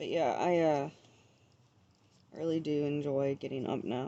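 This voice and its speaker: Mumbling in a monotone, flat delivery, a woman speaks at a fairly slow pace with a very deep, low pitch. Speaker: vlogger. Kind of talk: casual vlog monologue. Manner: mumbling, stumbles over words.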